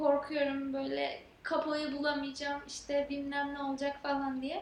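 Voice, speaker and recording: A woman with a high pitch speaks at a fairly slow pace, with audible room echo around her. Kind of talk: casual chat. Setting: vacation home in Antalya.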